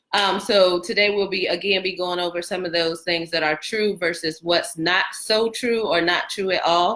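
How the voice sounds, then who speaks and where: Bright and sharp, a woman's voice sits at medium pitch. Her pitch variation is ordinary. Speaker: real estate agent. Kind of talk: live stream talk. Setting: live stream from computer.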